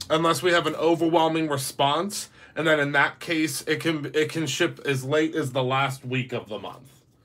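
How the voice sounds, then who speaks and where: A man with an American accent, fairly high pitch and fairly even intonation, at a moderate pace with hardly any pauses. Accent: slips into a southern US. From Pittsburgh, Pennsylvania. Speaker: craft stencil seller. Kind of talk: tutorial.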